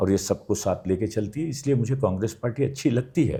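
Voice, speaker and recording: A man's dark, mellow tone comes across somewhat breathy, with lively intonation. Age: 60s. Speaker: theatre actor and architect. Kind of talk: interview.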